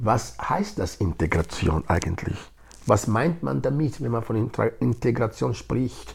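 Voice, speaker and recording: This is a man speaking. His pace is very slow. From Nigeria. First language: Edo (speaking German). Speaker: integration project leader. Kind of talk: interview.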